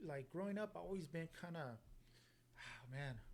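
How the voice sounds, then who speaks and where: A man with a fairly high, somewhat breathy voice speaks in a relaxed tone at a moderate pace. His intonation is lively. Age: 40s. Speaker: podcast host. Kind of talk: casual chat.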